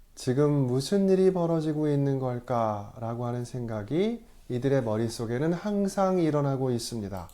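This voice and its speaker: Speaking at a fairly slow pace, a man has a dark, mellow tone. His fairly high pitch moves in very wide swings. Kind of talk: lecture. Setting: video letter. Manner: slurred articulation today.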